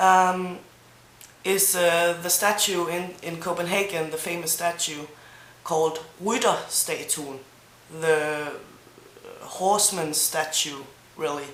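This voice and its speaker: A woman with a Danish accent at a very slow pace, fairly low in pitch, fairly even in intonation, with long, frequent pauses, audible room echo and noticeable background noise. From Denmark, Zealand. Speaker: language teacher vlogger. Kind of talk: language tutorial. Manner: mumbling a bit.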